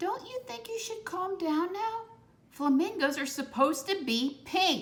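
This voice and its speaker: A woman performs a loud, put-on character voice at an extremely high pitch. Her pitch swings very widely as she goes at a moderate pace. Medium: read story. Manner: loud, squawking.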